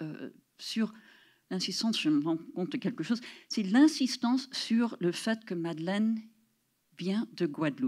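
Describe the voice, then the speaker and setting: On a very clean recording with a silent background, a woman talks at a very slow pace. Her voice is somewhat breathy, with very wide pitch swings. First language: English (speaking French). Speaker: professor. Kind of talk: lecture. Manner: halting.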